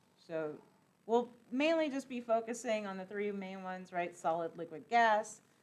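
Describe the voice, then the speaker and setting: This woman has a normal speaking voice, fairly high in pitch. She talks at a moderate pace with lively intonation. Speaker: chemistry lecturer. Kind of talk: lecture. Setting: classroom.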